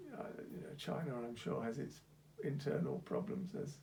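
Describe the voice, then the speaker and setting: A man's voice with vocal fry, very wide pitch swings and a fairly slow pace. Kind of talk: casual conversation.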